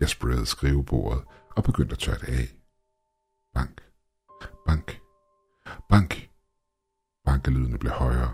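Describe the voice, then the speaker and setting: Somewhat breathy, a man speaks at a fairly slow pace in a very deep, low voice with a dark, mellow tone. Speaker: creepypasta narrator. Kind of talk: creepypasta horror narration, first-person story read aloud.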